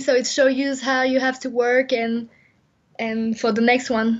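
Delivered at a moderate pace, the speech has a French accent and monotone, flat intonation. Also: woman. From France. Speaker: Olympic skier. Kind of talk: interview. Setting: phone call. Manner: halting.

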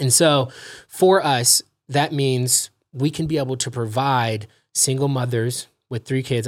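A man with an American accent uses a normal speaking voice at medium pitch, with fairly even intonation. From California, Los Angeles. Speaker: real estate investor. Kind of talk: casual interview.

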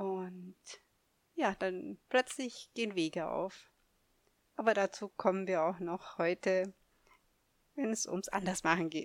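In a dry, close sound with no echo, a woman speaks very slowly at a medium pitch with ordinary pitch variation and long, frequent pauses. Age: 50s. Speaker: podcast host and life coach. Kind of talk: solo podcast monologue. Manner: halting, with many fillers.

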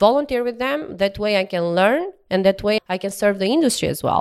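A woman with an Albanian accent talks at a fairly quick pace with ordinary pitch variation. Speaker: oil and gas sales professional. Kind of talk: interview. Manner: laughs often.

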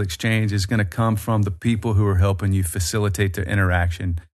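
Speaking in a Southern US accent, a man with a fairly low pitch moves at a fairly quick pace with ordinary pitch variation. The background is quiet. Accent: Southern US, noticeable. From Birmingham, Alabama, US South. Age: 40s. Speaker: tour company owner. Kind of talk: casual interview chat.

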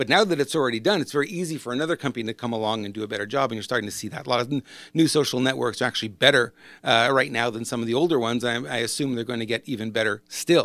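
This man talks at a very fast pace with a medium pitch. His pitch varies in an ordinary way, and the recording is very clean with a silent background. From Quebec, Montreal. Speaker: business coach. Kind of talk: solo video monologue. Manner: casual, discursive.

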